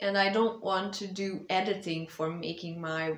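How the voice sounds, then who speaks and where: Audible room echo surrounds a woman speaking at medium pitch. Her intonation is monotone and flat. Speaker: vlogger and author. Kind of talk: casual update vlog. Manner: hesitant, many fillers. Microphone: small clip-on mic, voice sometimes too quiet.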